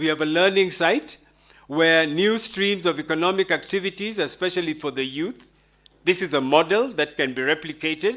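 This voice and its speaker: Here a man has a high pitch and a bright, sharp tone, with ordinary pitch variation. He talks at a moderate pace in a very clean recording with a silent background. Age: 60s. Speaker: conference presenter, conservationist. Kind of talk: conference presentation.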